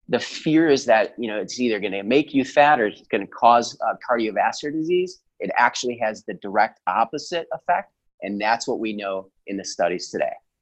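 A man at a medium pitch with lively intonation, a fairly quick pace, hardly any pauses and an unremarkable speaking voice. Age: 40s. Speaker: chiropractor and health coach. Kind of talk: podcast interview.

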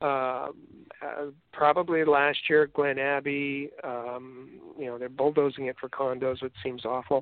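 This man, in a Canadian accent, speaks with a fairly high pitch and monotone, flat intonation. His loudness swings widely. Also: fairly slow pace. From Canada. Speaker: podcast co-host, sports editor. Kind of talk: casual chat. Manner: halting, many fillers and repetitions.

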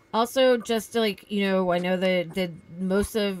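This is a woman with medium pitch and ordinary pitch variation. She has a plain, everyday voice. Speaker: podcast co-host. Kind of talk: casual chat.

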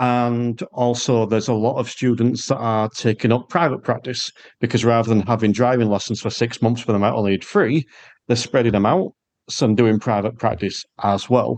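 A man with an English accent talks at a medium pitch and moderate pace, his loudness very even and his intonation fairly even. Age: 40s. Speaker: podcast host and driving instructor. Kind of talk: casual interview chat; podcast outro. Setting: video call.

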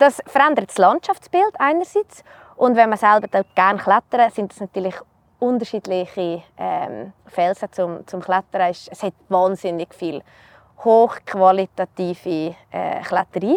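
This is an ordinary speaking voice with ordinary pitch variation and big swings in loudness. The sound is dry and close, with no echo. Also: woman, medium pitch for a woman, fairly slow pace. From Switzerland, canton Uri (Erstfeld). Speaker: mountain guide trainee. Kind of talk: casual interview. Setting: outdoors.

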